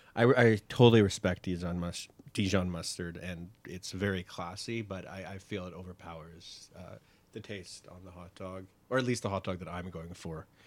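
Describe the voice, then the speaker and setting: A man's very deep, low voice with a Canadian accent, moderate pace, fairly even intonation and big swings in loudness, on a very clean recording with a silent background. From Canada, Toronto. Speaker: hot dog enthusiast. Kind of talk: casual chat. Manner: halting.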